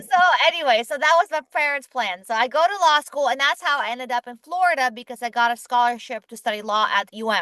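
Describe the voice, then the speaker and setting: In a dry, close recording with no echo, a woman with a high pitch speaks in a raised, projected voice at a very fast pace with hardly any pauses, her tone animated, her intonation lively and her loudness swinging widely. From Ukraine and Israel. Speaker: entrepreneur, company founder. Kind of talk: interview.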